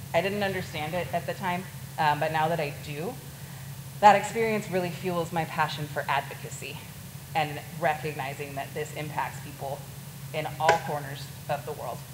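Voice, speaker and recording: A woman with an American accent speaks at a moderate pace in a very deep, low pitch, her intonation fairly even. Noticeable background noise and an audible room echo fill the recording. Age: 30s. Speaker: crisis worker and nurse. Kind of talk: talk to a student audience.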